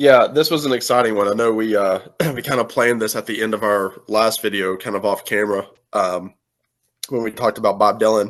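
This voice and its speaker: Over a quiet background, a man with an Appalachian accent talks at a fairly quick pace and a fairly low pitch, his intonation fairly even. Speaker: music youtuber. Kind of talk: casual chat.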